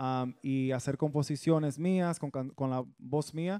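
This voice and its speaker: Over a quiet background, a man talks in a dark, mellow tone with fairly even intonation. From US Northeast, Bronx, New York, Dominican family; New York. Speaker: bachata singer; guest. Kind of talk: TV interview. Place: studio. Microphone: studio mic.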